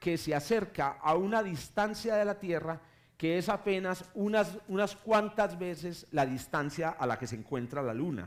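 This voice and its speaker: The speaker is a man. He talks with a paisa accent. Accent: paisa (Colombian). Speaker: astronomy professor. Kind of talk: public lecture. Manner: halting, many self-corrections.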